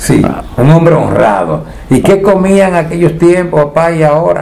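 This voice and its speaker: Pitched high, a man's voice moves with ordinary pitch variation. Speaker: TV news reporter. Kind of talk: interview questions. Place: home room.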